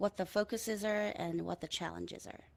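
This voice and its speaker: At a fairly quick pace, a woman talks with a Korean accent at a medium pitch. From South Korea, Daegu. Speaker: audio designer and composer. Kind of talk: conference talk.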